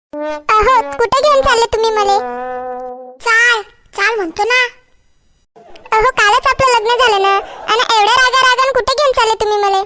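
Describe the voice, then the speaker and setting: A woman's cartoonish character voice at an extremely high pitch, with ordinary pitch variation and a fairly slow pace. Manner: coaxing, affectionate.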